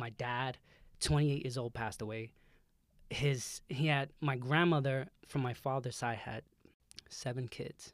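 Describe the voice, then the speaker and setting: On a very clean recording with a silent background, a man speaks at a medium pitch with fairly even intonation. He goes at a fairly slow pace with long, frequent pauses. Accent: New York. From Brooklyn, New York. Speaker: nutritionist and photographer. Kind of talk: casual chat. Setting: studio.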